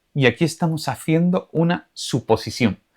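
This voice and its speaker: A man speaks in an Andalusian accent. His pace is fairly slow and his intonation lively. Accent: Andalusian, drops final s. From Andalusia, Spain. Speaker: Spanish teacher. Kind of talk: tutorial.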